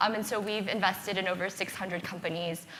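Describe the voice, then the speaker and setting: In an American accent, a woman talks at a fairly quick pace with medium pitch. Her intonation is monotone and flat, and there is noticeable background noise. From US Midwest, Ohio near Akron. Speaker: venture capitalist. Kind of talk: panel discussion.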